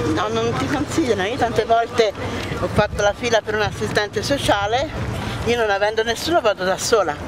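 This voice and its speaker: Noticeable background noise, in a dry sound with no echo. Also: woman. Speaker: interviewee. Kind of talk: interview answer. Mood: sad, near tears. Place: street.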